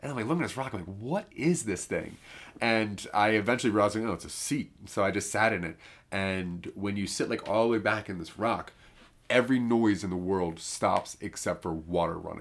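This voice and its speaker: Recorded very cleanly against a silent background, a man with a fairly low pitch speaks at a moderate pace in a plain, everyday voice with ordinary pitch variation. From US, northeast Maryland. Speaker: podcast host. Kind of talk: casual chat.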